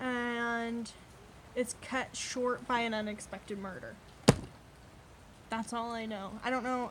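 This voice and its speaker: The speech moves at a very slow pace with long, frequent pauses and monotone, flat intonation. Noticeable background noise sits behind it. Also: woman, fairly high pitch for a woman. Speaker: booktuber. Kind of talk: casual vlog book haul. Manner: halting, many fillers.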